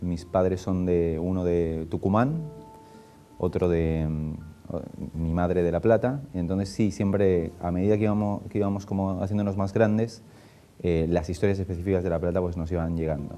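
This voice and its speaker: Speaking in a Spanish accent, a man with a very deep, low pitch keeps a moderate pace and fairly even intonation while music plays in the background. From Spain. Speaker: film director and screenwriter. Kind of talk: interview. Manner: halting.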